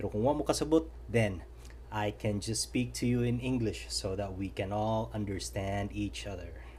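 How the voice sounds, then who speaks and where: With a Filipino accent, a man speaks at a very deep, low pitch, using vocal fry and very wide pitch swings. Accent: Filipino accent, noticeable. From Philippines. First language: Cebuano (Bisaya). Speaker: knife reviewer YouTuber. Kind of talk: product review. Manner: slow, deliberate; hesitant with fillers.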